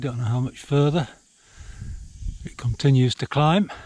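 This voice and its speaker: A man with a Yorkshire accent speaks at medium pitch and a moderate pace in a dark, mellow, somewhat breathy tone, the sound dry and close with no echo. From Yorkshire, northern England. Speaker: hiking vlogger. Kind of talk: walking vlog narration. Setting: outdoors, hiking. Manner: casual, with hesitations.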